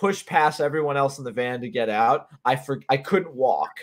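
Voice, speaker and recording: With an American accent, a man delivers his lines in a bright, sharp tone and lively intonation. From Connecticut. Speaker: podcast host. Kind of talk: casual chat.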